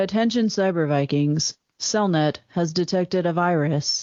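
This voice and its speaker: A put-on, robotic character voice at a middle pitch speaks at a moderate pace in a deadpan tone. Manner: flat, emotionless, deadpan.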